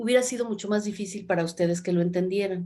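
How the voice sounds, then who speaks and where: Ordinary pitch variation shapes the speech. The speaker is a woman. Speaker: novelist. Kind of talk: interview. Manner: halting.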